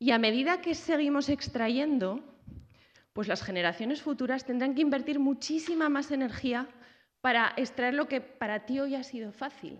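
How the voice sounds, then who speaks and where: Against a quiet background, a woman speaks at a moderate pace in a high pitch with ordinary pitch variation. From Zaragoza, Spain; Spain. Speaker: researcher and university lecturer; university lecturer. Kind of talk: lecture. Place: hall. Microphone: podium.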